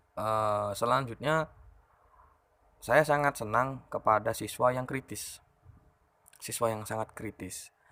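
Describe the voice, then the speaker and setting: A man's bright, sharp, medium-pitched voice with a slight Madurese accent, very slow with long, frequent pauses, in a very clean recording with a silent background. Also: ordinary pitch variation. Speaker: teacher and vlogger. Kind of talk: casual monologue answering viewer questions.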